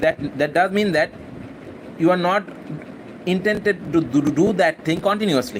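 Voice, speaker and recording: Against noticeable background noise, the speaker uses a Bangladeshi accent at a moderate pace, with ordinary pitch variation, very even loudness and long, frequent pauses. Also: man, high pitch for a man. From Bangladesh, Khulna. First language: Bengali. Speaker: university student and English-practice vlogger. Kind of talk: casual spontaneous monologue, live session. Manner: halting, many fillers and repetitions.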